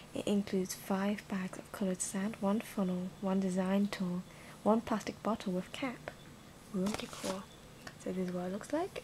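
Soft-spoken, a woman talks at a medium pitch and moderate pace with fairly even intonation over noticeable background noise. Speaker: ASMR unboxing host. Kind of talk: ASMR product unboxing narration. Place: home room. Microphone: phone near.

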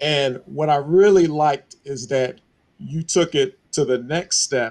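Speaking with an American accent, a man talks at a fairly slow pace and a fairly high pitch. His pitch variation is ordinary, and the background is quiet. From Buffalo, New York; New York. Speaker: Bible study teacher. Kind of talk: Bible study teaching. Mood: warm, appreciative. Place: home room. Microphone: headset.

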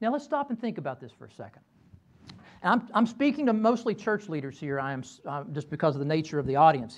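A man with a Southern US accent talks at a very fast pace, his fairly high voice making very wide pitch swings. His loudness rises and falls sharply. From Kentucky. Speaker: professor. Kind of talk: lecture. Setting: stage with audience. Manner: halting. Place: classroom. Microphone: lapel.

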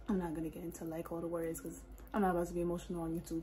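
Here a woman talks at a very fast pace. Light background noise can be heard. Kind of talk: casual vlog chat. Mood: warm, affectionate. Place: home room. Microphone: phone near.

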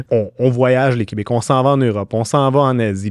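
A man talks at a fairly quick pace. The sound is dry with no echo, over a quiet background. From Quebec. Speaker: podcast host, communications director; podcast host. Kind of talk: podcast interview. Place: studio. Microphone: studio mic.

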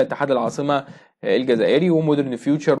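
Very fast speech from a man with an Egyptian accent, over a quiet background. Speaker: sports news presenter; news presenter. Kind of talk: news reading. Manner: hesitant fillers. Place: home room. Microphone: phone near.

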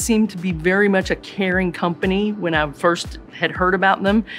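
Faint music can be heard in the background. A woman does the talking. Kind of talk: interview answer. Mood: warm, positive. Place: office.

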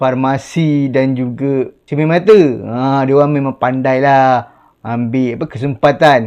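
This is a man with a normal speaking voice at medium pitch. He goes at a fairly slow pace against a quiet background. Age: 40s. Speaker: YouTuber. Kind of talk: casual vlog talk to camera.

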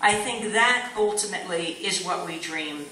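Heard with audible room echo, a woman speaks at a fairly slow pace with ordinary pitch variation. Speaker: guest. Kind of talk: public speech. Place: stage. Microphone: podium.

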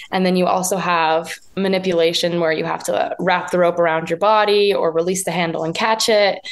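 Over noticeable background noise, a woman with an American accent talks at a fairly quick pace in a medium pitch, flat and monotone, with hardly any pauses. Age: young. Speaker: professional jump roper. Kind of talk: interview.

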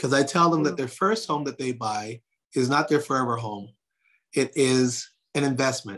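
At a moderate pace and medium pitch, a man talks over a quiet background with ordinary pitch variation. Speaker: realtor and real estate team leader. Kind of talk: interview on a real estate talk session. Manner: animated. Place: home room. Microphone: phone near.

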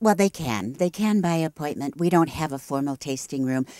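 This woman talks at a fairly quick pace in a dark, mellow tone. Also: quiet background, dry sound with no echo. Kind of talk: interview answer. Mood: warm, proud, friendly. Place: garden. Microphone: handheld.

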